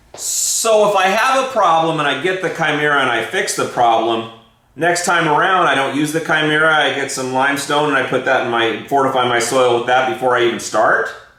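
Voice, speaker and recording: A man talks at a fairly quick pace with hardly any pauses, his pitch fairly high and its variation ordinary. Noticeable background noise and audible room echo fill the recording. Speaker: gardening show host. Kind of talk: casual chat. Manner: fast.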